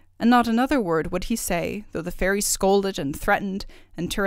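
Someone delivers the text by reading aloud in a natural voice.

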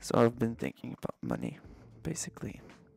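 A man talks at a moderate pace in a dry sound with no echo. Faint music plays in the background. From Canada, Montreal. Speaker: vlogger. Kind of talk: casual talk to camera, vlog. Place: home room. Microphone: studio mic.

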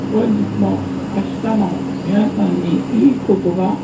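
Heavy background noise nearly swamps words delivered at a very slow pace. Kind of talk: onboard announcement. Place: bus.

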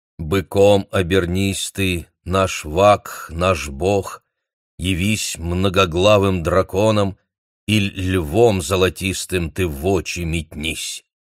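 Very slowly, a man speaks at a very deep, low pitch with fairly even intonation, the sound dry and close with no echo on a very clean recording with a silent background. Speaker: audiobook narrator. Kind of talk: reading aloud.

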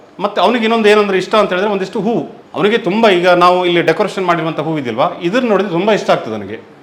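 Noticeable background noise runs under the voice. The pitch varies in an ordinary way. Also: man, high pitch for a man. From coastal Karnataka roots (Mangalore side), raised in Theerthahalli, Shivamogga. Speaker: temple priest. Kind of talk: interview. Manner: halting.

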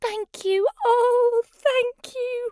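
A female-sounding voice, put on as a character, goes extremely high in pitch. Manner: grateful, emotional.

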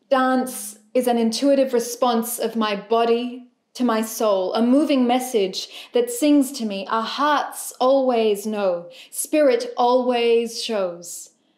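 A woman speaks at a very slow pace in a high voice with ordinary pitch variation. The background is quiet, though the room echo is audible. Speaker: poet. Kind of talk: spoken word poetry performance. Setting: music accompaniment. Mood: gentle, warm, reflective. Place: home room.

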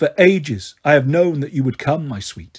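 Using a put-on character voice, a man speaks at a moderate pace in a fairly high pitch. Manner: angry.

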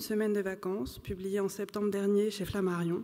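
Delivered fairly quickly, the speech has a dark, mellow tone. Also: woman. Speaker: moderator. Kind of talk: moderated literary panel. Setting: stage with audience. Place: hall. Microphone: podium.

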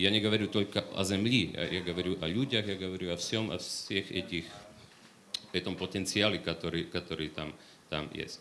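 Against light background noise, a man with a very deep, low pitch and a bright, sharp tone speaks at a moderate pace with fairly even intonation. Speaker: economic reform expert; panel discussion expert. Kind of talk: panel discussion. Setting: stage with audience. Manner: halting. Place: hall. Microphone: handheld.

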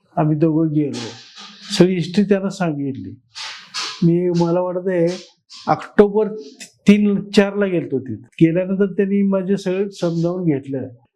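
Ordinary pitch variation in a man's high voice. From Kolhapur district, Maharashtra. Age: 70s. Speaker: patient. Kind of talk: testimony. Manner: halting.

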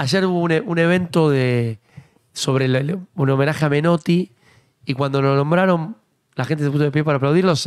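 A man with a fairly high voice talks at a fairly quick pace, his pitch varying in an ordinary way against a quiet background. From Argentina. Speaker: political talk show host. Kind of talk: casual chat. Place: studio. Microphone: studio mic.

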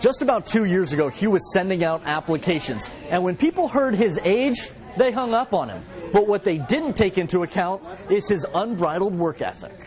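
Lively intonation over crowd noise in the background. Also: man, high pitch for a man, moderate pace. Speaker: TV news reporter. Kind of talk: TV news package narration.

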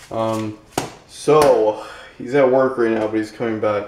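The man talks at a moderate pace with fairly even intonation. Audible room echo and light background noise are present. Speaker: vlogger. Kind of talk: casual vlog chat. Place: kitchen. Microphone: phone near.

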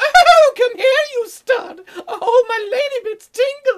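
Fairly slow delivery in a put-on character voice pitched extremely high. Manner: breathy, exaggerated, flirtatious.

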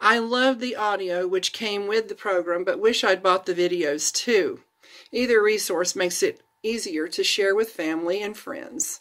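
A woman with an American accent at a moderate pace, ordinary pitch variation and a quiet background. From Florida, USA. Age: 50s. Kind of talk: read-aloud personal testimony blog. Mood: earnest, warm, reflective. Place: home room. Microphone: phone near.

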